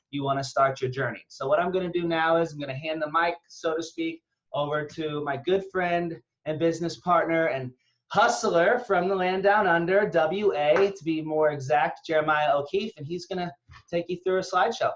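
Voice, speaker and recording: Talking at a fairly quick pace with a high pitch, a man with an American accent shows ordinary pitch variation. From Northeast Texas. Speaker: online business recruiter. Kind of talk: webinar presentation. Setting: video call webinar.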